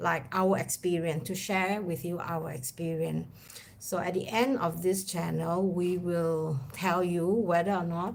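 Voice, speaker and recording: Audible room echo surrounds a woman who speaks fairly slowly in a fairly low voice. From Singapore. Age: 50s. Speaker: travel vlogger. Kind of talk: casual chat.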